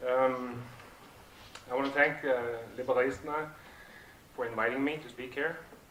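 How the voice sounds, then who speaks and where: Moderate pace broken by long, frequent pauses, fairly even intonation, big swings in loudness, audible room echo and noticeable background noise. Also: man, medium pitch for a man. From southern Norway. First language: Norwegian. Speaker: project founder, speaker. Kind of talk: conference talk. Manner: halting, many fillers.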